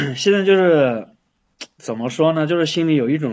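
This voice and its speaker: Moving at a moderate pace, a man talks with a fairly high pitch. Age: 20s. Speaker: caller seeking relationship advice. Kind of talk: phone-in advice call. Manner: halting, repeats words.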